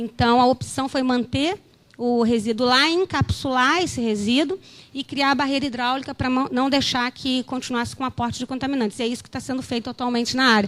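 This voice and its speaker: A woman's high voice at a fairly quick pace, with fairly even intonation. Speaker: geologist at environmental agency. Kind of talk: conference presentation. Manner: hesitant, many fillers.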